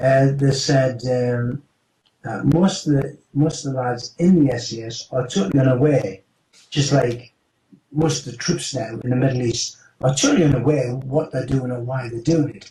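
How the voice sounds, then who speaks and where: A dark, mellow, somewhat breathy tone at a moderate pace, with fairly even intonation and big swings in loudness. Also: man, medium pitch for a man. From United Kingdom. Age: 70s. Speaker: retired special forces operative. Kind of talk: interview answer.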